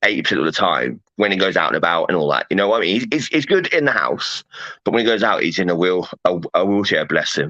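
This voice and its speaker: A man talks at a very fast pace with very even loudness. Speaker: paranormal meme group owner. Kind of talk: casual chat. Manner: halting, repetitive.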